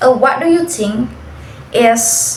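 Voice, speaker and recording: There is audible room echo and noticeable background noise as a woman speaks with an Indonesian accent. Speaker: university student. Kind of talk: class assignment interview.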